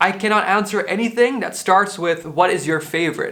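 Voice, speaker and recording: A man with a Dutch accent speaks fairly quickly in a raised, projected voice. His tone is bright and sharp. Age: 20s. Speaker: podcaster. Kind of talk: casual monologue, answering questionnaire. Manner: casual, low key.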